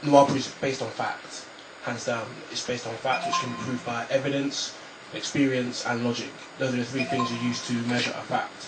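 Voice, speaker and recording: With music in the background and audible room echo, the voice moves at a fairly quick pace in a monotone, flat intonation. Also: man, medium pitch for a man. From Nigeria. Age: 20s. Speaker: author. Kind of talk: radio interview. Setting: radio studio. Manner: halting, repeats words.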